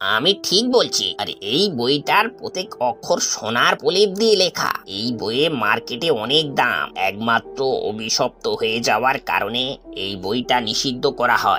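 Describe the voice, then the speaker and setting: Over music in the background, a man does a cartoonish character voice at medium pitch with very wide pitch swings. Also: moderate pace. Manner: earnest, respectful.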